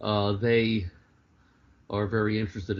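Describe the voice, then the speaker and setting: With a fairly low pitch, a man speaks in a somewhat breathy voice. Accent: American. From New York City, Greenwich Village. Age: 60s. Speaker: author and clown performer. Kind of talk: interview. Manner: halting, many fillers.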